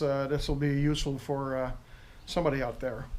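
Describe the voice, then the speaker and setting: Over noticeable background noise and audible room echo, a man with a strong French Canadian accent speaks at a fairly high pitch. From Quebec. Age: 50s. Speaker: motorcycle owner reviewing his bike, retired soldier. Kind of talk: casual video review. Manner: hesitant, many fillers.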